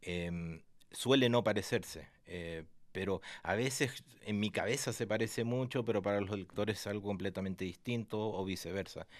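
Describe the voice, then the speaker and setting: This very clean recording has a silent background. A man talks at a moderate speed, pitched fairly low, and his pitch moves in an ordinary way. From Argentina. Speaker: writer. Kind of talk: interview. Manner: halting, with many fillers.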